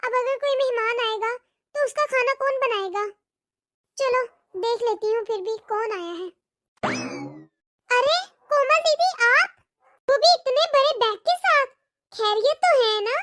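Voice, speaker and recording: A woman uses a cartoonish character voice at an extremely high pitch, with ordinary pitch variation and a moderate pace. She leaves long, frequent pauses, and the sound is dry and close with no echo. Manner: fretful, talks to herself.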